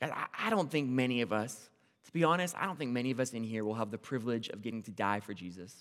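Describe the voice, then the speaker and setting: Lively intonation marks this man's very fast delivery at medium pitch. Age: 20s. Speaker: campus minister and lay preacher. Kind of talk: sermon. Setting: church service with congregation. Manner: loud, excitable.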